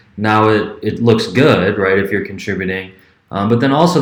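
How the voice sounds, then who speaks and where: A man talks at a moderate pace with fairly even intonation. Audible echo fills the room around him. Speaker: history professor. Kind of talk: class announcement video. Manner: speeds up when passionate.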